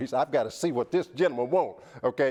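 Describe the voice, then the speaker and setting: Lively intonation carries this voice with a Southern US accent. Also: man. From US South. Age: 60s. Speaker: motivational speaker. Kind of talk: TV interview; testimony. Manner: preacher-like.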